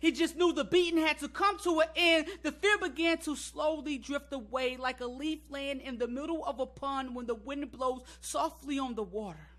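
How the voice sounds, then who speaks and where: Raising and projecting his voice, a man with an extremely high pitch and a bright, sharp tone speaks at a moderate pace. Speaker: spoken word poet. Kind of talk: spoken word poetry performance.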